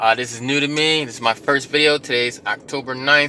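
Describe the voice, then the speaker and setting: Noticeable background noise sits behind a man's voice. He talks at a fairly quick pace with fairly even intonation. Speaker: rideshare driver, vlogger. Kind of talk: casual tutorial vlog. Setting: self-recorded on camera. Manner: fast; casual, filler-heavy.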